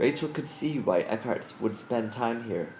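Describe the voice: Text is read aloud plainly, the pitch varying in an ordinary way.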